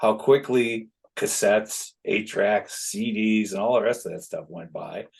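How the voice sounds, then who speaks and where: A man speaks at a fairly slow pace, his loudness swinging widely. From Chicago, US Midwest. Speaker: concert production manager. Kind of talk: casual chat. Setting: podcast interview. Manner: animated.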